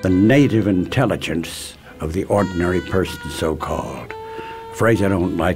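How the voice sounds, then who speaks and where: Over music in the background, a man with an American accent speaks in a very deep, low pitch with ordinary pitch variation. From Chicago. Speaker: oral historian, radio host. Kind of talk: interview answer.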